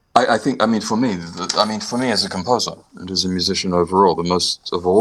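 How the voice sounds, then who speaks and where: A man speaks at a very fast clip in a very deep, low voice. His pitch varies in an ordinary way, with noticeable noise in the background. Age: 60s. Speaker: composer and pianist. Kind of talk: interview. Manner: halting.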